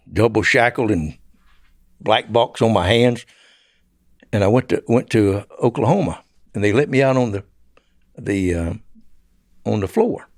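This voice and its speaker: With a Southern US accent, a man talks at a moderate pace with long, frequent pauses on a very clean recording with a silent background. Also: medium pitch for a man, ordinary pitch variation. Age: 70s. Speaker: former drug smuggler. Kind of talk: interview storytelling.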